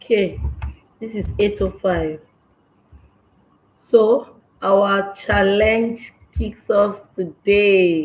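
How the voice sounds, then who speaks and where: A woman talks at a very slow pace with long, frequent pauses and fairly even intonation. Her loudness swings widely. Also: medium pitch for a woman. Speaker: parenting coach. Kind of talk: live online session. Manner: trying to speak loud.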